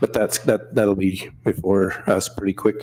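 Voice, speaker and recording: A man's fairly low, dark, mellow voice in a monotone, flat delivery. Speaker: assistant city manager. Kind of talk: council meeting report. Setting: council chamber meeting, streamed online.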